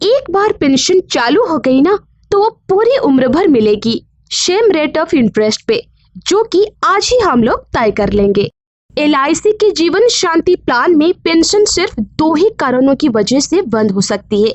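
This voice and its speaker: A woman's voice reaches an extremely high pitch with very wide pitch swings while her loudness stays very even. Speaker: voice over artist. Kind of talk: explainer narration.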